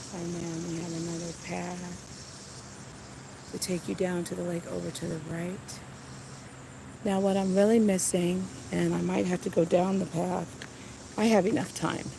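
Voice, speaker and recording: Surrounded by audible room echo, a woman speaks in a monotone, flat intonation with long, frequent pauses. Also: moderate pace. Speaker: nature livestreamer. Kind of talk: live walking tour stream. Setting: outdoors in a garden.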